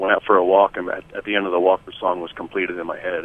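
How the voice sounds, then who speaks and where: A man rattles off his words very fast while noticeable background noise plays behind. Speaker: musician and producer. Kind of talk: radio interview.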